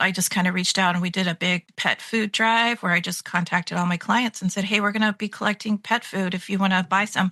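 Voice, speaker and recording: Over a quiet background, a woman speaks fairly quickly in a bright, sharp tone. The sound is dry and close with no echo, and her intonation is fairly even. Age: 50s. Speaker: pet care business owner. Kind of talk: interview conversation.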